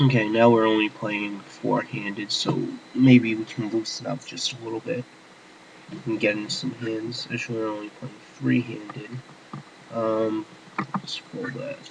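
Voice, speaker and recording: A medium-pitched man at a fairly slow pace, fairly even in intonation, with long, frequent pauses and music in the background. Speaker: poker player. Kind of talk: screen-recorded tutorial commentary. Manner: whispered.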